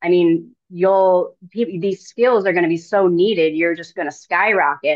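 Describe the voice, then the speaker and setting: In an unremarkable speaking voice, a woman talks at a fairly slow pace with hardly any pauses, her pitch fairly low and her intonation fairly even. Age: 40s. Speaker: podcast host and spiritual coach. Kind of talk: interview conversation.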